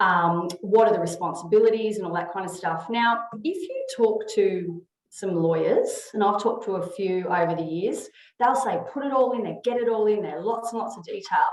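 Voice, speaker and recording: A woman speaks with an Australian accent at a fairly high pitch. Her loudness swings widely, and the room echo is audible. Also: ordinary pitch variation. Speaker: HR consultant. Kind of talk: webinar presentation. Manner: fast.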